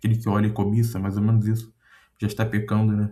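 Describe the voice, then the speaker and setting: Fairly low in pitch, a man speaks with a dark, mellow tone. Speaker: content creator. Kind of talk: casual monologue reflection. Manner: hesitant, many fillers.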